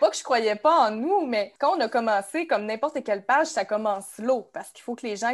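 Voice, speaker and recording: A woman speaks with a Quebec accent at a fairly quick pace. Her pitch is fairly high. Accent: Québécois French. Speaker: Instagram account founder. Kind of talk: casual chat.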